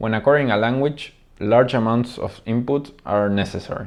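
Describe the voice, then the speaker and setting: A man talks at a medium pitch with a Spanish accent. The background is quiet. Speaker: language teacher. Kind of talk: video monologue.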